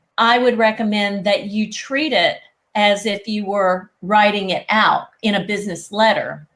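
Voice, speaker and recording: With a slight Southern US accent, a woman speaks at a medium pitch with ordinary pitch variation. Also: fairly slow pace. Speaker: etiquette expert. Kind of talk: interview.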